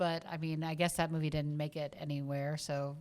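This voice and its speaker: Speaking at a fairly quick pace, a woman with a slight Southern US accent has a very deep, low voice and a monotone, flat intonation. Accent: subtle southern. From US South. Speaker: film podcast co-host. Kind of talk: casual chat.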